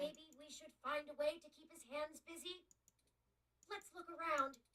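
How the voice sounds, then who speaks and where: A put-on character voice, squeaky and high-pitched, at a moderate pace. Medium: video game. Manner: articulate, polite.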